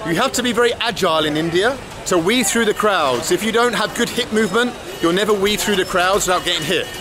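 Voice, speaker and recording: Against noticeable background noise, a man speaks at a fairly quick pace in a raised, projected voice. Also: dry sound with no echo. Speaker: travel vlogger. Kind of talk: casual vlog chat. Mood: cheerful, upbeat. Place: market. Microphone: phone near.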